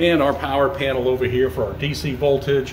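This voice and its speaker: Audible room echo and faint background noise around a man's voice. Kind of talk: casual vlog chat. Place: home room. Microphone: phone near.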